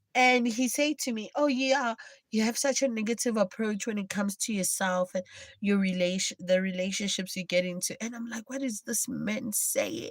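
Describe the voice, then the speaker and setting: Her voice is somewhat breathy and fairly high in pitch for a woman. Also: ordinary pitch variation, moderate pace. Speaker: live streamer. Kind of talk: casual livestream chat.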